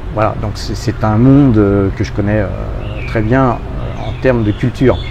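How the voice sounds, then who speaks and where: Fairly low male voice at a fairly slow pace, ordinary pitch variation, with audible room echo and noticeable background noise. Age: 60s. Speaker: expat interviewee, youtuber. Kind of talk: casual interview. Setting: outdoors by hotel pool. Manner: hesitant, many fillers.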